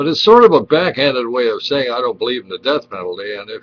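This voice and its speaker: Noticeable background noise runs under this recording. A man speaks over it at a fairly quick pace with ordinary pitch variation. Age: 70s. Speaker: webcam vlogger. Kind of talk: casual monologue. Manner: halting, with repetitions.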